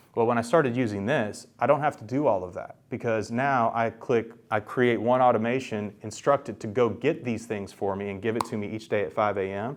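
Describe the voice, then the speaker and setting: A man's medium-pitched voice at a fairly quick pace, hardly any pauses, with ordinary pitch variation. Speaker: workshop presenter on AI tools for real estate. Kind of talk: workshop presentation. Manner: fast; casual with many fillers.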